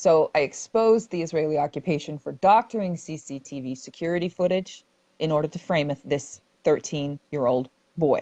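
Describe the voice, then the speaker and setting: Loud and dark, mellow in tone, this voice moves at a moderate pace with ordinary pitch variation. The sound is dry and close with no echo, over a quiet background. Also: woman, very deep, low pitch for a woman. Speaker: activist reporter and livestream host. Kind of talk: livestream discussion. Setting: livestream video call. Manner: animated.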